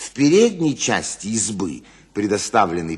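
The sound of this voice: An unforced reading voice is heard. The speaker simply reads the text.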